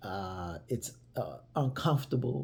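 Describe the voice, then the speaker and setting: Somewhat breathy and dark, mellow in tone, a man speaks with an American accent. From United States. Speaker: vlogger telling travel stories. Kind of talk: casual storytelling monologue. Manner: conversational, with many fillers and repeats.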